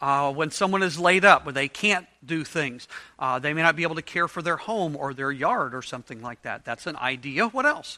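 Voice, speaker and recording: Bright and sharp in tone, a man with a fairly high pitch talks fairly quickly with lively intonation and hardly any pauses. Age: 50s. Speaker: Bible study teacher. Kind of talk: interactive Bible study lesson. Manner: conversational, casual.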